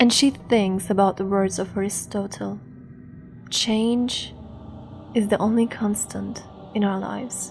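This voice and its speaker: A woman speaking at a fairly slow pace with long, frequent pauses, music in the background. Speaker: storyteller. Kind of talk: bedtime horror story narration. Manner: soft-spoken, ASMR-style.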